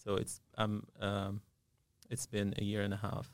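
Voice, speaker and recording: A man is speaking. He has an Arabic accent. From Syria. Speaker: dentist and business owner. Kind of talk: interview. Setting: studio. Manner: halting, many filler sounds.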